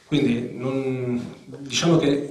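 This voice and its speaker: Audible room echo surrounds this man as he talks. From central Italy, Umbria (Spoleto); Umbria, Italy. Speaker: journalist. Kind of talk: public talk. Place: hall. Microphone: handheld.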